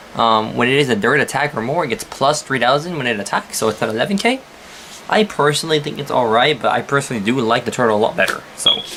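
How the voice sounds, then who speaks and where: Against noticeable background noise, a man talks at a fairly quick pace with lively intonation and an animated tone. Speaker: card game YouTuber. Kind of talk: deck profile tutorial. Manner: halting, stutters; casual, animated.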